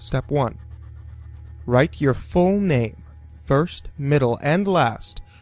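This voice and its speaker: There is music in the background. A man talks with lively intonation at a medium pitch. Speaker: creepypasta narrator. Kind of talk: horror story narration.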